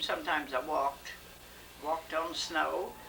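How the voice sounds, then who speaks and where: A woman with a Midwestern American accent is heard against noticeable background noise. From rural Missouri. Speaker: retired farm woman. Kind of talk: interview answer.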